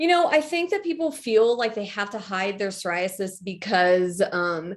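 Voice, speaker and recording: Her voice sits at a medium pitch and swings very widely. A woman speaks at a moderate pace. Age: 30s. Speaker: patient advocate. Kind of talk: casual chat.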